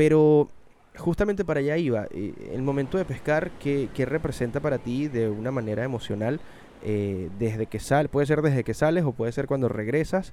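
A moderate pace paired with lively intonation. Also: man, fairly high pitch for a man. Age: 30s. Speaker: podcast host and voice actor. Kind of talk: casual chat. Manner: everyday conversational tone.

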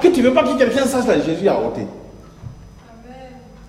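A man is heard with audible room echo. Background noise is noticeable. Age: 60s. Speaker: pastor. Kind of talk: sermon. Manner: animated.

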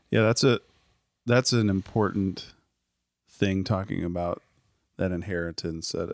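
Spoken at a moderate pace with an American accent and ordinary pitch variation, on a very clean recording with a silent background. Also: man, long, frequent pauses. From Iowa, Cedar Falls. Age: 30s. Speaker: ministry leader, podcast co-host. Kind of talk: casual chat.

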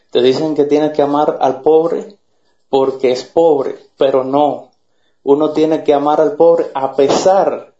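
A man speaks at a fairly slow pace. His voice is fairly high and flat in a monotone. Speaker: Cuban activist. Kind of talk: political argument.

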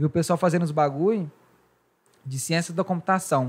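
A very clean recording with a silent background captures a man with fairly high pitch and ordinary pitch variation. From Brazil, Goiás. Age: 20s. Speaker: podcast host. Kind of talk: casual chat.

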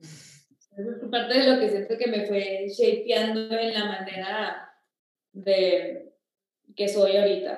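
Some room echo is audible as a woman speaks at medium pitch with fairly even intonation. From Mexico, Torreón. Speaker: nutrition and wellness consultant. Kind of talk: casual interview, personal testimony.

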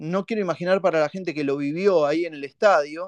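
Close and dry, with no echo at all, this man's voice comes through. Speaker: fan podcast host. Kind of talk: live call-in fan show. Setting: live online audio space. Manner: animated.

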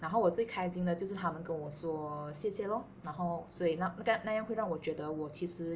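A woman talks at a very fast pace. Her pitch sits fairly low. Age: 30s. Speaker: podcast co-host, office worker. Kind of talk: casual chat.

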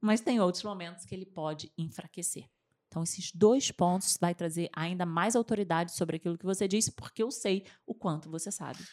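An ordinary speaking voice, a woman's at medium pitch, moves at a fairly quick pace with ordinary pitch variation, the sound dry and close with no echo on a very clean recording with a silent background. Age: 40s. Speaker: communication and public speaking coach. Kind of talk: interview.

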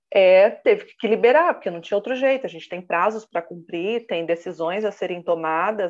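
Using lively intonation at a moderate pace, a woman has an unremarkable speaking voice. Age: 30s. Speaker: professional condominium manager and consultant. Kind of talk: interview.

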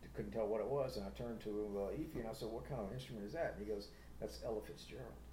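A man with an American accent talks at a very fast pace and a fairly low pitch, his voice making very wide pitch swings, with audible room echo. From US South, Atlanta, Georgia. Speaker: musician. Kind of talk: casual chat.

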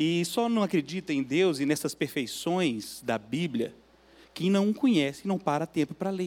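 Lively intonation and a fairly slow pace mark this ordinary speaking voice. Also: man, fairly high pitch for a man. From Minas Gerais, Belo Horizonte. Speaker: guest preacher, church guitarist. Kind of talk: sermon. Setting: church.

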